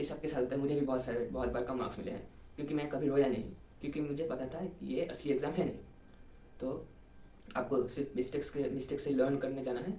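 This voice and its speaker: In a Bengali accent, a man speaks at a moderate pace with a fairly high pitch and fairly even intonation, and audible room echo can be heard. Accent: Bengali-accented Hindi. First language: Bengali (speaking Hindi). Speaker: engineering student, exam topper. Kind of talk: interview, study advice. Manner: halting, many fillers.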